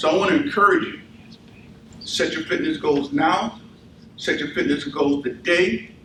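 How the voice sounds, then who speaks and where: At a moderate pace with long, frequent pauses, a man with a high pitch swings very widely in pitch over noticeable background noise. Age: 60s. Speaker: army veteran and fitness speaker. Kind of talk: motivational talk; audience Q&A. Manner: animated.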